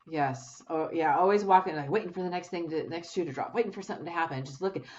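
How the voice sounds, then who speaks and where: A woman with a fairly low pitch talks at a very fast pace. Noticeable background noise is present. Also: ordinary pitch variation. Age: 60s. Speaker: podcast host, abuse survivor. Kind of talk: interview conversation. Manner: halting.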